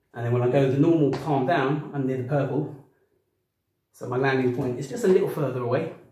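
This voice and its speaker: A man's voice at a moderate pace, fairly even intonation, with audible room echo. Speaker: boxing coach. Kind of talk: tutorial. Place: home room. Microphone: camera far.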